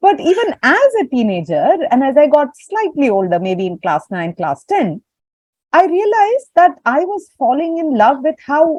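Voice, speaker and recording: A woman with a Tamil accent talks at a moderate pace in a high voice with very wide pitch swings, the sound dry and close with no echo. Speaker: audience member asking a question. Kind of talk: Q&A comment.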